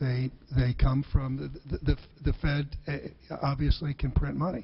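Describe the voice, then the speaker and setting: Noticeable background noise sits under a man whose medium-pitched voice stays monotone and flat. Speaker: former Secretary of the Treasury and bank CEO. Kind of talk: congressional hearing testimony. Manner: stammering, hesitant.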